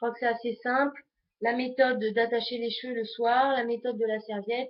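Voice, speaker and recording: Fairly high pitch from a woman, delivered at a moderate pace. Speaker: beauty vlogger. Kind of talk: tutorial.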